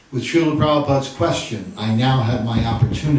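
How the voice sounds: This natural reading voice moves through ordinary pitch variation.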